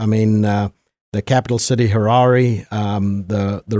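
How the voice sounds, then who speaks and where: Here is a man with a Zimbabwean accent and a fairly low pitch. He speaks at a very slow pace with fairly even intonation. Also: dry, close sound with no echo. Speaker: guest. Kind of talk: interview conversation. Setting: studio.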